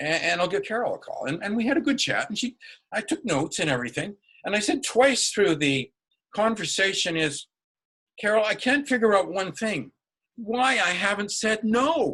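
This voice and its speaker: A man's high, raised, projected voice, bright and sharp in tone, with very wide pitch swings at a moderate pace. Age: 70s. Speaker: public speaking club member giving a speech. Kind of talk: prepared speech. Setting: video call. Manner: animated; halting.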